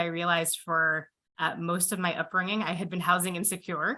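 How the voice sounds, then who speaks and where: Loud and with a bright, sharp tone, a woman speaks at a fairly low pitch with an American accent. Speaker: physician and health care leader. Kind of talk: panel discussion.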